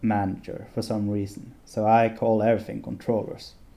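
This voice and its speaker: A man's dark, mellow, fairly low voice holds a flat monotone at a moderate pace. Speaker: game development tutorial creator. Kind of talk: tutorial. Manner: hesitant, many filler sounds; occasionally slurred words.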